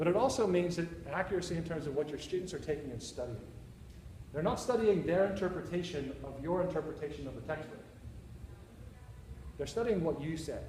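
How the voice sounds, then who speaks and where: Audible room echo surrounds a man with a high pitch and ordinary pitch variation. He talks at a fairly quick pace but with long, frequent pauses. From Northern Ireland, Belfast. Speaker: university teacher presenting. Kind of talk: conference presentation. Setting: conference session with audience.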